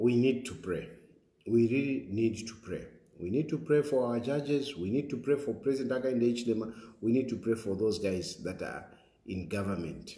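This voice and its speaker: A man's somewhat breathy voice with a dark, mellow tone, lively intonation and moderate pace, over a quiet background with audible room echo. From Zambia. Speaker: political commentator and show host; political commentator, show host. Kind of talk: talk show with phone-in callers. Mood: serious, concerned. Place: home room. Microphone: phone near.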